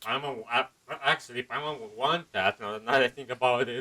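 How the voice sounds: Bright and sharp in tone, a man with a medium pitch talks at a fairly quick pace. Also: ordinary pitch variation.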